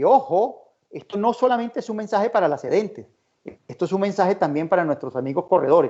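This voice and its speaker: A high-pitched man's voice with lively intonation. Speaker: insurance risk expert, conference speaker. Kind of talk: conference talk. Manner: fast.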